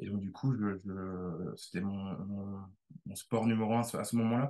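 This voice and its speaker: A man's fairly low pitch carries a dark, mellow tone and fairly even intonation. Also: fairly slow pace. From Brittany, France. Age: 30s. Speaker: tennis coach. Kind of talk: interview. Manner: halting, many repetitions.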